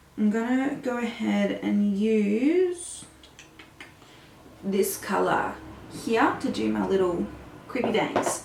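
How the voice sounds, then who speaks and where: A woman, very slow with long, frequent pauses, amid audible room echo and noticeable background noise. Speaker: makeup artist. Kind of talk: makeup tutorial. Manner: casual, chatty.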